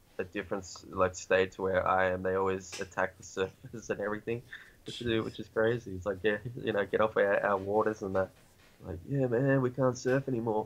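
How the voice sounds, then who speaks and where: Intonation holds fairly even throughout. Delivery moves at a moderate pace. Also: man. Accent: Australian. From Australia, New South Wales. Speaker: hip hop artist. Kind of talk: casual chat. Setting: video call. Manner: many fillers, rambling pace.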